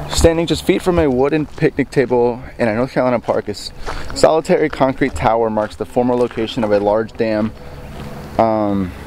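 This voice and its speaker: A man talks fairly quickly, his sound dry with no echo, under light background noise. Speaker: vlogger. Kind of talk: casual vlog chat. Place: open country. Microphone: phone near.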